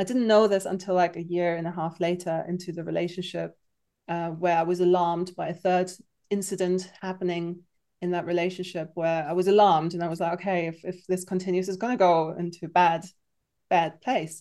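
At a fairly quick pace, a woman speaks in a monotone, flat intonation with a fairly low pitch and a dark, mellow tone. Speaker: art therapist and creativity coach. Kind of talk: casual interview chat. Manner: warm, friendly, laughs often.

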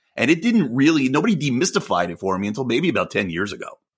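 A fairly high-pitched man at a very fast pace, with vocal fry and very wide pitch swings. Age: 40s. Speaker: podcast co-host. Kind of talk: casual chat.

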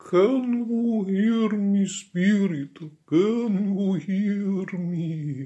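This is a put-on character voice at a middle pitch. The pace is very slow. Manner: mystical, theatrical.

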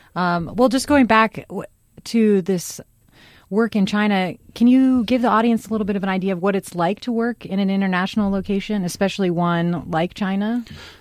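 Here is an ordinary speaking voice from a woman at medium pitch, with ordinary pitch variation and a fairly quick pace. The recording is very clean, with a silent background. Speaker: radio talk show host. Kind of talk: radio dj patter, upbeat station ids and show intros. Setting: radio studio. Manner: bright, polished, conversational, fast-flowing, bantering.

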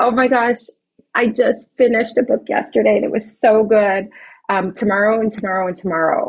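A woman talks in an ordinary speaking voice at a fairly quick pace. Her pitch is fairly high, with ordinary pitch variation. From Chicago. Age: 40s. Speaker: esthetician and spa owner. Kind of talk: interview.

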